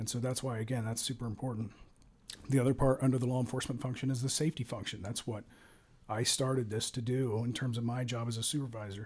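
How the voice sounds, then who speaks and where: A man with an American accent talks at a very fast pace and a medium pitch. His somewhat breathy voice has monotone, flat intonation. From Ohio, Cincinnati area. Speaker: police sergeant. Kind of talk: interview. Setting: studio.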